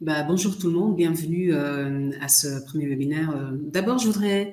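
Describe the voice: A dark, mellow tone at a moderate pace, ordinary pitch variation and audible room echo. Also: woman, low pitch for a woman.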